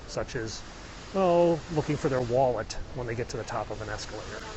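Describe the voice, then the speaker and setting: Over noticeable background noise, a man speaks with a Midwestern American accent. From US Midwest, Illinois. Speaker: live-stream vlogger. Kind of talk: casual live-stream chat while hiking. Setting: outdoors on a hike. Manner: conversational.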